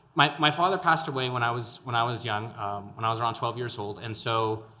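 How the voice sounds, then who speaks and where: A man's medium-pitched voice with an American accent, a moderate pace, and noticeable background noise. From El Paso, Texas. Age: 20s. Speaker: podcast host and local political candidate. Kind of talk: interview conversation. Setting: artist studio.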